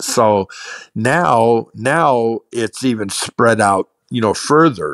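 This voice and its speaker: A man with an American accent, medium pitch and ordinary pitch variation, at a very slow pace, in a dry, close sound with no echo. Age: 60s. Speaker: card collector. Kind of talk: interview. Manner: halting, repeats words.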